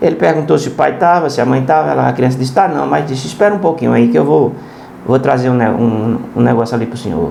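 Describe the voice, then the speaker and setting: Over noticeable background noise and audible room echo, a man at a medium pitch speaks very fast with very wide pitch swings. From Brazil, Pernambuco (Serra Talhada). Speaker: preacher. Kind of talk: sermon. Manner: halting.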